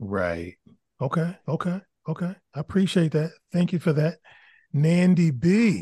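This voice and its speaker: In an American accent, a man speaks at a fairly slow pace with long, frequent pauses. His fairly high voice sounds animated, with ordinary pitch variation. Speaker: podcast host and moderator. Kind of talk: casual panel discussion.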